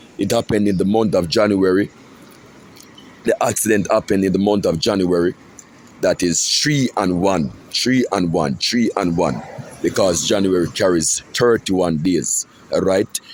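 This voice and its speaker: A man's voice sits at a fairly low pitch with ordinary variation and very even loudness. He moves at a moderate pace with long, frequent pauses over noticeable background noise. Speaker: self-styled prophet, religious video blogger. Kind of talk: religious monologue.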